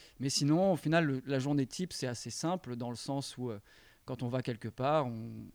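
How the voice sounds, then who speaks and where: A man talks fairly quickly, with ordinary pitch variation. The background is silent and the recording very clean. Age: 30s. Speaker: skate videographer changing careers. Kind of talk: casual interview. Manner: hesitant, many fillers.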